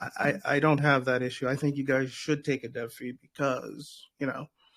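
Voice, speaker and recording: At a moderate pace, a man with an ordinary speaking voice talks at a fairly high pitch with fairly even intonation. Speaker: crypto show host. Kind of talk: casual chat.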